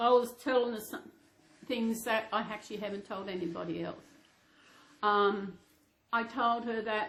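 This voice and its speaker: A woman with an Australian accent speaks at a moderate pace. Her pitch is fairly high, with ordinary variation. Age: 60s. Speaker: reborn doll vlogger. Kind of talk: casual chat. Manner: halting.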